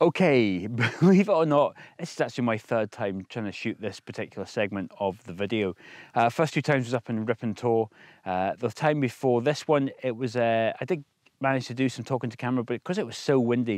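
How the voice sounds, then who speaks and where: With lively intonation and a fairly quick pace, a man speaks in a dry sound with no echo against a quiet background. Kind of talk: casual vlog chat. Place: open country. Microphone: phone near.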